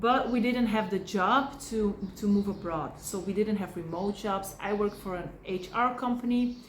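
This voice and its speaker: Ordinary pitch variation marks this fairly slow speech, heard with audible room echo. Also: woman. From Belgium. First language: Dutch or Polish. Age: 30s. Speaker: family vlogger. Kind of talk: casual vlog. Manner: halting.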